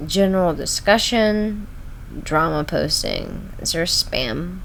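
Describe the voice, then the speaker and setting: Speaking very slowly with an American accent, a woman is heard amid noticeable background noise and audible room echo. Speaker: streamer. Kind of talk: casual live stream chat. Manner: halting, filler-heavy.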